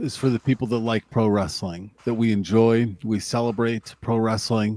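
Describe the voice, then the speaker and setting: This man has a plain, everyday voice at a medium pitch. He speaks with an American accent. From Lake Tahoe area, US West. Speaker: wrestling podcast co-host. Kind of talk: casual chat; show outro.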